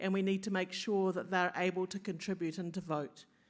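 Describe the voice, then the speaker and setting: With a New Zealand accent, a woman talks at a medium pitch. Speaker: meeting chair. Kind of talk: formal meeting address. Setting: in-person meeting streamed on Zoom.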